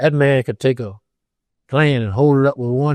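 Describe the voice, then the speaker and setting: At a moderate pace and medium pitch, a man with an American accent speaks in a dark, mellow tone with fairly even intonation, the sound dry and close with no echo over a quiet background. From Ohio. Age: 80s+. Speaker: retired construction superintendent. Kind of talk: interview answer.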